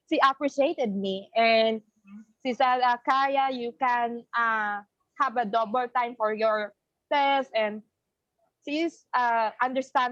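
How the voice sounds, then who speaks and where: This woman speaks with a Filipino accent at a fairly slow pace. Her pitch is fairly high and her intonation fairly even. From Philippines. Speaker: college student. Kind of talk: testimony. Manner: halting.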